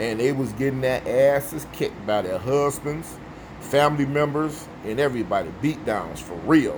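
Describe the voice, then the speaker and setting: Noticeable background noise sits under a man with an American accent who speaks at a moderate pace and a fairly high pitch. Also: ordinary pitch variation. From US Midwest, Chicago. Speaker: vlogger. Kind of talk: casual monologue.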